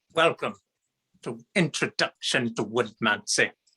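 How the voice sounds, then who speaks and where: Speaking at a fairly slow pace, a man has a medium pitch, lively intonation and a bright, sharp tone. The sound is dry and close, with no echo. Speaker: hobby woodworker giving a work presentation. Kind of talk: humorous presentation. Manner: animated; loud.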